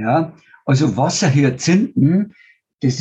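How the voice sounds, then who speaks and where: A man's dark, mellow tone, somewhat breathy, with lively intonation. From rural German-speaking region (village). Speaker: biogas entrepreneur and NGO founder. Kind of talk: interview.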